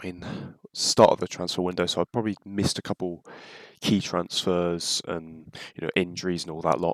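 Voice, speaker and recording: A man talks with a British accent, his pitch very deep and low. His loudness swings widely. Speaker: football YouTuber. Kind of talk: casual reaction video. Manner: hesitant, many fillers.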